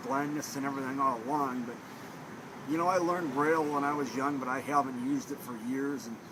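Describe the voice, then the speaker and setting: A strong Minnesota accent at a fairly quick pace with fairly even intonation, over noticeable background noise and audible room echo. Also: man. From Minnesota, Thief River Falls. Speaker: student at blindness training center. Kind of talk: interview. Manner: casual, with many fillers.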